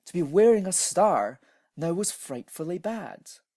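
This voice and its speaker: A very slow man's voice with a dark, mellow tone on a very clean recording with a silent background. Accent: Scottish. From Scotland. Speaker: storyteller. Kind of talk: reading aloud.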